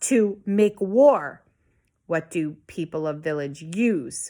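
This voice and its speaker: In a put-on character voice that sounds female, the speaker uses a middle pitch at a very slow pace on a very clean recording with a silent background. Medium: read story. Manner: slow, halting speech.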